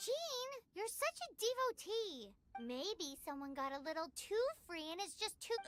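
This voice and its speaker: Over music in the background, a put-on character voice at an extremely high pitch swings very widely in pitch at a moderate pace. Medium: video game. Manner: excitable, blunt.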